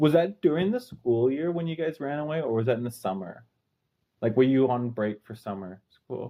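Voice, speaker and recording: Using a plain, everyday voice, a man talks at medium pitch and a moderate pace with lively intonation. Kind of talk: interviewer, casual.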